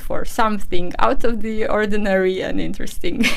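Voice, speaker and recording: A woman's medium-pitched voice at a fairly quick pace, with audible room echo and noticeable background noise. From Romania. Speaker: orthopedic technician. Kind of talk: interview. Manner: halting.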